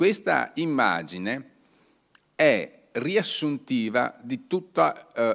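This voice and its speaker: Very wide pitch swings mark a man's speech on a very clean recording with a silent background. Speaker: author giving a talk. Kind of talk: lecture. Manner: hesitant, with frequent fillers.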